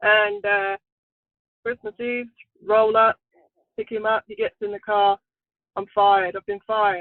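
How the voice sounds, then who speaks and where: In an English accent, a woman speaks at a fairly high pitch with fairly even intonation. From England. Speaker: truck driver. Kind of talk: interview.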